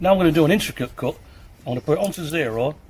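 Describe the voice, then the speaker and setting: There is noticeable background noise as a man talks at a very fast pace. His pitch is fairly high, with ordinary variation. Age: 60s. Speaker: tool reviewer. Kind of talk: product review tutorial. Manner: casual, slightly halting.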